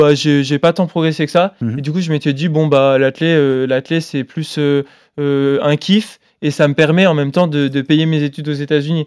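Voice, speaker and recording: In a very clean recording with a silent background, a man with a fairly high pitch uses an ordinary speaking voice at a fairly slow pace with fairly even intonation. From France, Grenoble. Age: 20s. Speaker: marathon runner. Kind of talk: casual interview.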